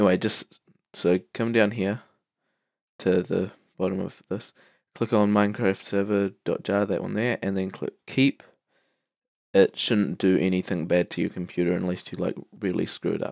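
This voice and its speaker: With a New Zealand accent, a man speaks at a moderate pace with fairly even intonation and long, frequent pauses. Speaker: tutorial maker. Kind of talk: tutorial. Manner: hesitant, many fillers.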